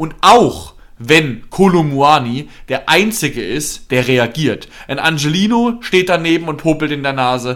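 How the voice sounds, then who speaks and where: In an ordinary speaking voice, a man with a fairly high pitch talks at a fairly slow pace with lively intonation. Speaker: football podcast co-host, fan. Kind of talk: angry rant about a team's bad match, heated football analysis. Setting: studio podcast recording.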